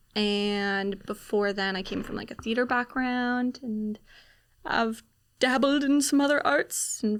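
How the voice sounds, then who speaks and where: In a very clean recording with a silent background, a woman with a normal speaking voice talks at a fairly slow pace, her fairly high pitch showing ordinary variation. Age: 20s. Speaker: actor and filmmaker. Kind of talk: podcast interview. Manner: casual, frequent fillers.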